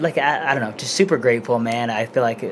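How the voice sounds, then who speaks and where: There is noticeable background noise, and a man speaks quietly at a fairly quick pace. His pitch is medium and he has an American accent. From Denver, Colorado. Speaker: mixed martial arts fighter. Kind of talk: casual interview. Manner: soft-spoken. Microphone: too quiet.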